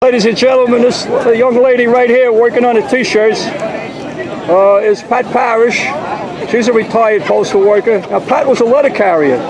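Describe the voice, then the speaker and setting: With crowd noise in the background, a man talks at a moderate pace in an extremely high pitch with ordinary pitch variation. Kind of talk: casual on-the-spot introductions and commentary. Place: street. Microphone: phone near.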